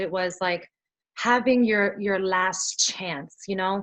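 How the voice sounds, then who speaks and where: A woman speaks with a New York accent. Her pitch is medium, with ordinary pitch variation. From US Northeast, Brooklyn, New York. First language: Spanish. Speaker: singer-songwriter. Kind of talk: interview.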